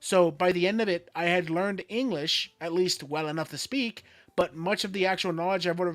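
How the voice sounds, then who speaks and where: A man speaks fairly quickly in a high pitch with an American accent and ordinary pitch variation. The recording is very clean, the background silent. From Florida, US. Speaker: streamer. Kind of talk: casual chat.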